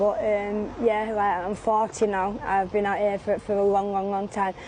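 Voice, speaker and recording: A woman talks with a Mancunian accent at a moderate pace. Her medium-pitched voice stays monotone and flat. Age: 40s. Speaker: street sex worker. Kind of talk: street interview. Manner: halting.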